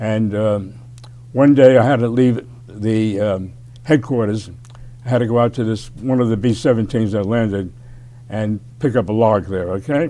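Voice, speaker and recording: A man at a medium pitch speaks at a moderate pace with fairly even intonation. He leaves long, frequent pauses. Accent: New York. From New York City (Bronx). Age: 90s. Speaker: war veteran. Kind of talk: interview.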